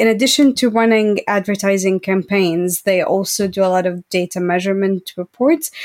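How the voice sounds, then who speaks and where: A woman's unremarkable speaking voice at a medium pitch, with ordinary pitch variation, a moderate pace, very even loudness, and a dry, close sound with no echo. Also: hardly any pauses. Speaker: journalist and researcher.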